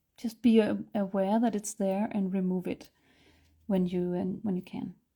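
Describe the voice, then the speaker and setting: Speaking in a Danish accent, a woman uses a medium pitch and a dark, mellow tone, her intonation monotone and flat at a moderate pace. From Denmark. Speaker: artist and art instructor. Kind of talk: live-stream painting tutorial. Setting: live stream. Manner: hesitant, many fillers.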